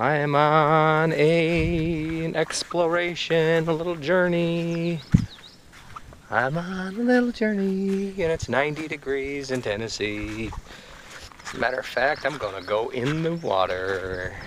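The sound is dry with no echo, though background noise is noticeable. A man speaks at a very slow pace. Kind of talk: casual vlog chat. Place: open country. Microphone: phone near.

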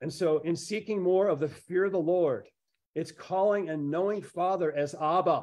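The voice shows ordinary pitch variation at a moderate pace. The background is quiet. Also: man. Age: 50s. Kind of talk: sermon. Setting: video call. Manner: animated. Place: kitchen. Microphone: video call.

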